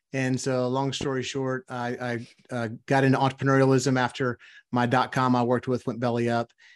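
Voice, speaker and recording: A man's medium-pitched voice in a Louisiana accent, monotone and flat, over a quiet background. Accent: Southern US (Louisiana). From US South, South Louisiana. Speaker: entrepreneur and author. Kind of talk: interview.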